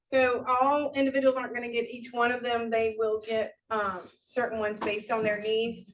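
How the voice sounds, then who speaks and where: A woman's fairly high voice in a monotone, flat intonation, at a moderate pace with hardly any pauses. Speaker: state agency liaison. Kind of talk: presentation.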